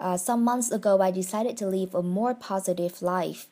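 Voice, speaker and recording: In a Vietnamese accent, a woman speaks at a moderate pace and medium pitch, with fairly even intonation and a dark, mellow tone. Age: 20s. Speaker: podcaster. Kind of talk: personal monologue. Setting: at home in bedroom.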